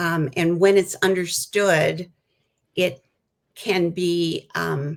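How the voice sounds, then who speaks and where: This woman has a fairly low pitch and fairly even intonation. She speaks at a very slow pace. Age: 70s. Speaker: counselor and author. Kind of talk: interview.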